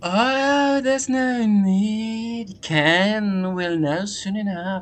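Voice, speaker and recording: The voice is a put-on character voice. It moves at a very slow pace. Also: man, high pitch for a man. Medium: game stream.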